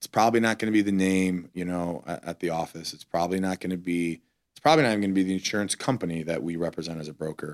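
Very fast speech from a man with an American accent and fairly even intonation. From Toledo, Ohio. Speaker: insurance executive, former college football player. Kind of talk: casual interview.

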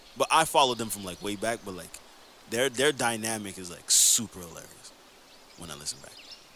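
A man with a fairly low pitch talks at a very fast pace with lively intonation over noticeable background noise. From Quebec. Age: 30s. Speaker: podcast co-host, former rapper. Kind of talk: casual chat.

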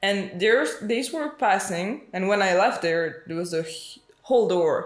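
A woman talks at a fairly slow pace with a Spanish accent. Music plays in the background. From Mexico. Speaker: podcast guest, host's sister. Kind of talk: casual chat.

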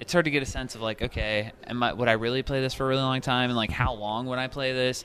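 A man talks at a medium pitch and a very fast pace, with hardly any pauses. His intonation is monotone and flat, and noticeable background noise runs underneath. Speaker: gamer friend. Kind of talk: casual chat.

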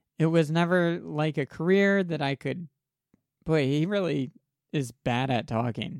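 A man with a fairly high pitch and ordinary pitch variation speaks at a fairly slow pace in a very clean recording with a silent background. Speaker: podcast co-host. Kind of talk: casual chat. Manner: calm.

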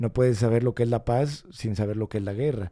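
The man's voice sits at a medium pitch, with a dark, mellow tone and fairly even intonation. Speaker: spiritual teacher and ceremony center founder. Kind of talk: spiritual teaching podcast talk. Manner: hesitant, repeats words, many fillers.

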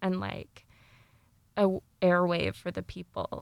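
At a moderate pace, a woman with a medium pitch speaks in a dry, close sound with no echo. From US Midwest. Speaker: student podcast producer. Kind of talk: interview.

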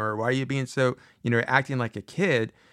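A man talks at a fairly quick pace in an ordinary speaking voice of medium pitch, recorded very cleanly with a silent background and a dry, close sound with no echo. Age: 50s. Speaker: podcast host giving advice to students. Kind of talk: solo motivational talk. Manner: casual, conversational.

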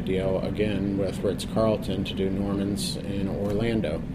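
Against noticeable background noise, a man with an American accent speaks at a fairly low pitch with fairly even intonation. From Pittsburgh, Pennsylvania. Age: 40s. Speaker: chef. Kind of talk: interview.

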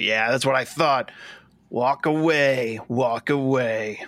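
A man's gruff, put-on character voice at medium pitch and a very slow pace. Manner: dismissive, threatening.

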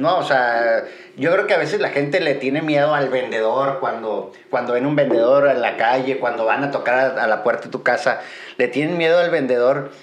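Amid noticeable background noise and audible room echo, a man with a fairly high voice speaks at a moderate pace. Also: ordinary pitch variation. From Mexico, Guadalajara. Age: 40s. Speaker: business owner. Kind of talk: casual chat.

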